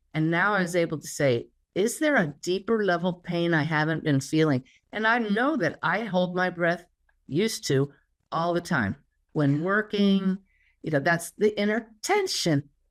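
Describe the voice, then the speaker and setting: In a very clean recording with a silent background, a woman with an ordinary speaking voice talks at a moderate pace, fairly low in pitch, with lively intonation. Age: 60s. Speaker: spiritual teacher and medium. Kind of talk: interview conversation.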